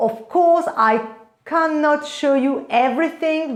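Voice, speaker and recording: A woman with a French accent talks with lively intonation amid noticeable background noise and audible room echo. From France. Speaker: fashion vlogger. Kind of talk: product review vlog. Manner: enthusiastic.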